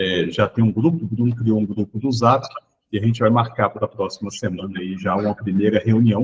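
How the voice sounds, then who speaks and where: A man speaks with a fairly low pitch and a somewhat breathy voice. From Brazil, Minas Gerais. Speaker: education researcher. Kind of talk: online training session introduction.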